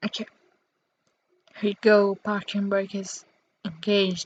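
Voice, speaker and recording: A somewhat breathy woman's voice in a dry, close sound with no echo. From Italy. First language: Italian. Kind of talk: casual gameplay commentary.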